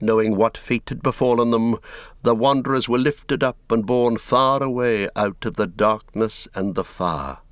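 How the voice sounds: The natural reading voice keeps a fairly even intonation.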